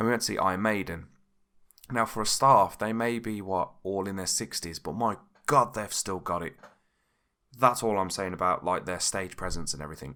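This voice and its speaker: In a British accent, a man with a fairly low pitch and a bright, sharp tone speaks at a fairly quick pace with ordinary pitch variation. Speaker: podcast host. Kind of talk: casual podcast talk. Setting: home recording without pop filter.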